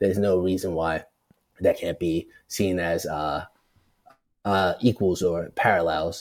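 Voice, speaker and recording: In an American accent, a man with a very deep, low pitch speaks at a fairly slow pace with fairly even intonation and long, frequent pauses. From Brooklyn, New York. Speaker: journalist and media producer. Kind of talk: casual chat.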